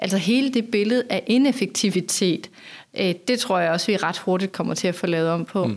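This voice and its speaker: A woman with an unremarkable speaking voice speaks at a moderate pace with medium pitch, ordinary pitch variation and very even loudness, in a very clean recording with a silent background. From Denmark, northern Funen. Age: 40s. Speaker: sustainability strategist. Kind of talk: podcast interview. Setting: office.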